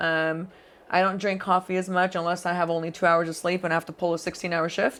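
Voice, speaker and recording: The woman's intonation is monotone and flat. She speaks at a fairly quick pace in a fairly low pitch. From Middle East (Qatar, Dubai). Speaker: aesthetics clinic owner and provider. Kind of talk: casual interview.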